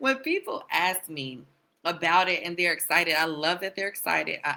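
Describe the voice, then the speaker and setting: Bright and sharp in tone, a woman with an American accent talks in an animated way at a fairly quick pace and fairly low pitch. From Wisconsin, US Midwest. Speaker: mental health therapist. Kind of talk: casual interview chat. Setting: live stream.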